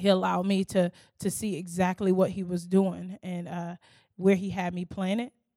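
In an American accent, a woman speaks with a dark, mellow tone and monotone, flat intonation, recorded dry and close with no echo on a very clean track with a silent background. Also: medium pitch for a woman, moderate pace. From Newark, New Jersey, later US South. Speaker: campus ministry staff. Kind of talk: interview testimony on church stage.

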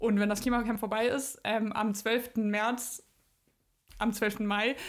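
A woman speaks with fairly even intonation and a fairly high pitch. She has an unremarkable speaking voice. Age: 20s. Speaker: climate activist, university student. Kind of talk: interview.

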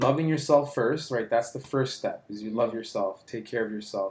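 A man talks at a moderate pace in a medium pitch with ordinary pitch variation. It is a plain, everyday voice. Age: 30s. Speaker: app founder and CEO. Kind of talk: casual interview.

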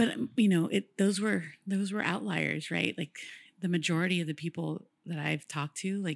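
Lively intonation and vocal fry mark this moderate-paced voice with an American accent, the sound dry and close with no echo. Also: woman. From Woodland, California. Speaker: graphic designer. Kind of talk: casual interview chat.

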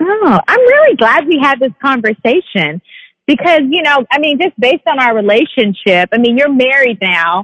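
This woman's high voice makes very wide pitch swings at a moderate pace while her loudness stays very even. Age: 30s. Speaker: podcast host. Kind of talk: casual chat.

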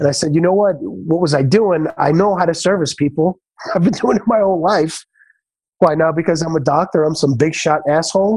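In a New York accent, a man speaks fairly quickly at a high pitch, with ordinary pitch variation and very even loudness. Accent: New York (Bronx). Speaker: chiropractor and restaurateur. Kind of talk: casual interview.

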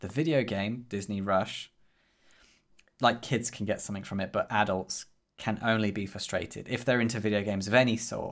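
In a very clean recording with a silent background, a man with a normal speaking voice talks at a fairly quick pace, his fairly low pitch held in fairly even intonation. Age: 30s. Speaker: podcast co-host and indie developer. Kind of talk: casual chat.

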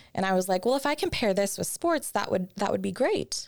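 The woman's pitch rises and falls very widely. Her tone is animated. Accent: American. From Arizona, US. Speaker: former pro dancer, TV personality and wrestler. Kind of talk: casual interview chat. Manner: animated, laughs often.

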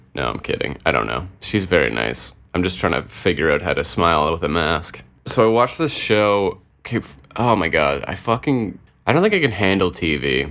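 A man with a very deep, low voice and vocal fry speaks at a moderate pace, his pitch swinging very widely. The recording is very clean, with a silent background. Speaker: podcast host. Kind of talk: casual solo monologue. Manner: rambling, laughs often.

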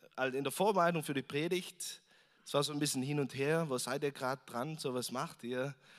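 A man with a plain, everyday voice talks at a fairly quick pace, his pitch fairly high for a man with ordinary variation, in a very clean recording with a silent background. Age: 30s. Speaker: visiting preacher. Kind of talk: sermon. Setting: church service with congregation. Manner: casual, with frequent fillers.

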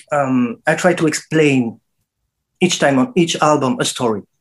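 A man with a French accent speaks at a fairly high pitch with lively intonation. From France. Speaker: dub musician and producer. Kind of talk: interview. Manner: halting.

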